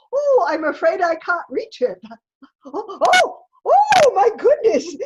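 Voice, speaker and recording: A woman's squeaky, put-on character voice, extremely high in pitch, with very wide pitch swings and a fairly slow pace. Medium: stage play. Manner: gentle, cooing.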